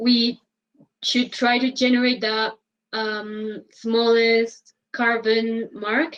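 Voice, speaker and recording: A woman speaks very slowly in a fairly high voice with monotone, flat intonation. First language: Spanish. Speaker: interpreter. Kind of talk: interpreting. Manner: halting, many fillers.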